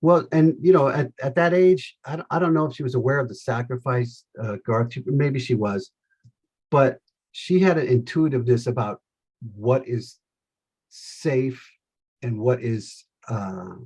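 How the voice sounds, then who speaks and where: An American man speaks at a medium pitch in a somewhat breathy voice, with ordinary pitch variation. His pace is fairly slow, with long, frequent pauses. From Los Angeles, California. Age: 60s. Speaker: salesman. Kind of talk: interview.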